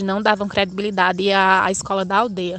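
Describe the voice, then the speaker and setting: Her speech holds to a flat, monotone intonation. The woman talks at a moderate speed. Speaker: math student teacher. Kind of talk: personal testimony.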